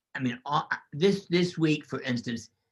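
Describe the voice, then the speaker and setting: A man speaks at a moderate pace with very wide pitch swings. His voice is somewhat breathy. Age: 80s+. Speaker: physician and holistic medicine doctor. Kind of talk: podcast interview.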